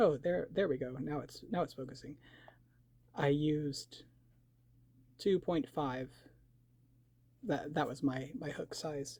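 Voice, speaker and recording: Speaking at a fairly slow pace with long, frequent pauses, a man uses a fairly high, somewhat breathy voice with a dark, mellow tone and ordinary pitch variation. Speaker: crochet tutorial creator. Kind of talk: tutorial. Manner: halting with repetitions.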